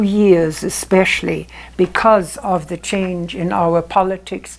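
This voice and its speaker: A woman speaks with a German accent at a fairly slow pace. Her intonation stays fairly even. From Germany. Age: 80s+. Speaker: storyteller. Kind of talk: interview answer. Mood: earnest, reflective storytelling. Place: home room. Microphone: lapel.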